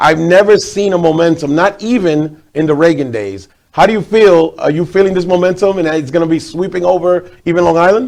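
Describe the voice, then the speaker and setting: This man speaks with a New York accent. His voice sits high in pitch. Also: ordinary pitch variation, fairly quick pace. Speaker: TV host. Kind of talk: interview.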